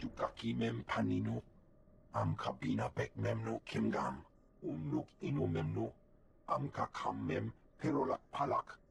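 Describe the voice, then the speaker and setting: In a put-on character voice, a man speaks with a very deep, low pitch. His moderate pace is broken by long, frequent pauses. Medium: video game.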